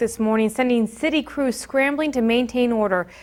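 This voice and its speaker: In a very clean recording with a silent background, a woman with a plain, everyday voice speaks fairly quickly and fairly high, with ordinary pitch variation. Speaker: TV news anchor and reporter. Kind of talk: TV news anchor read.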